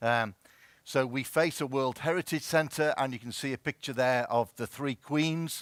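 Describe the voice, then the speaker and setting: A Merseyside accent at a moderate pace, with ordinary pitch variation. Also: man, medium pitch for a man. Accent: Merseyside, close to Scouse. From Wirral, northwest England. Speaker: health service chief executive. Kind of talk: conference presentation. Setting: stage with audience.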